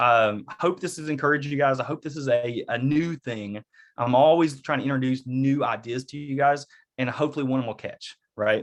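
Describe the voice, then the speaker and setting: This man has an Eastern Kentucky accent and a fairly high pitch with ordinary pitch variation. He speaks at a moderate pace over a quiet background. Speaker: real estate agent and workshop presenter. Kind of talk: online workshop with live Q&A. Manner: casual, conversational.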